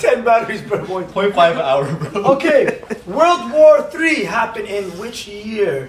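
Over light background noise with audible room echo, a high-pitched man speaks fairly slowly in an animated tone with very wide pitch swings. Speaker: game show host. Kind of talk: game show hosting. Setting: studio. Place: home room. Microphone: camera far.

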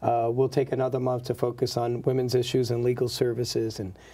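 With an American accent, a man speaks at medium pitch. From South Bronx, New York. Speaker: state senator. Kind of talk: interview. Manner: formal, measured, with fillers.

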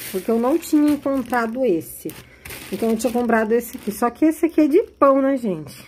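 Her pitch is high and her intonation lively. The woman talks at a fairly quick pace. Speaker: YouTuber, handmade crafts seller. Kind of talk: vlog, casual talk to camera. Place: home room. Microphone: phone near.

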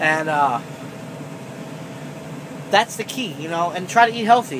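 Noticeable background noise under moderately paced talk. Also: man. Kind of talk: casual vlog chat. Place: car. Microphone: phone near.

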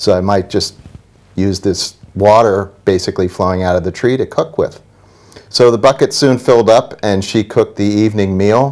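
A plain, everyday voice from a man at a moderate pace, with ordinary pitch variation. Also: fairly low pitch for a man, quiet background. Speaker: guest. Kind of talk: interview answer. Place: studio. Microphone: lapel.

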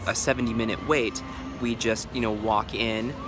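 A man is speaking. Noticeable background noise runs under his voice. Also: dry sound with no echo. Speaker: daily vlogger. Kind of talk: casual vlog chat. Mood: reflective, a bit guilty. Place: waterside. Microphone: phone near.

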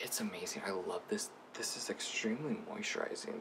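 Over light background noise, a man whispers at a fairly slow pace. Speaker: beauty vlogger. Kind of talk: casual product review to camera. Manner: whispered. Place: home room. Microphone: phone near.

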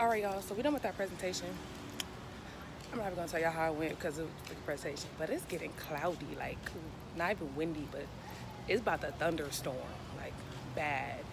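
Noticeable background noise surrounds a woman talking at a very fast pace with ordinary pitch variation in a dry sound with no echo. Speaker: vlogger. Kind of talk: casual vlog chat. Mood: playful then irritated. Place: street. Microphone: phone near.

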